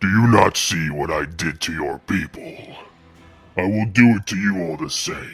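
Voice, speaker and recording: Over faint background music, a man puts on a character voice with very deep, low pitch at a moderate pace. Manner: menacing, threatening.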